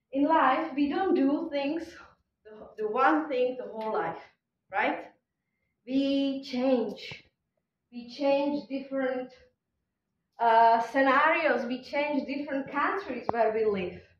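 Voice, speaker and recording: Speaking very slowly in a Czech accent, a woman uses high pitch and ordinary pitch variation, leaves long, frequent pauses, and has audible room echo around her. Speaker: conference speaker. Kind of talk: conference talk.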